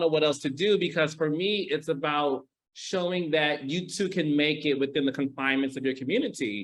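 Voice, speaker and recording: A man with a slight Midwestern accent speaks at a moderate pace. His pitch is fairly high, with ordinary pitch variation. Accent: slight Midwestern twang. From US Midwest, Detroit, Michigan. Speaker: TV producer. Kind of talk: interview.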